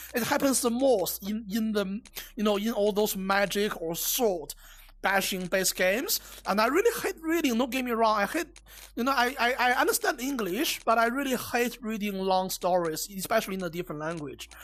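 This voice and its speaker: At a moderate pace, a woman with a Chinese accent talks in a fairly high pitch with lively intonation. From China. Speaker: VR game reviewer. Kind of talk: game review with gameplay demo. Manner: halting, many fillers and repeats.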